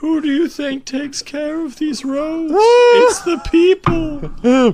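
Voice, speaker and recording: A man uses a put-on character voice, extremely high in pitch, and speaks at a very slow pace. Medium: actual play. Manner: oddly hollow and cheerful.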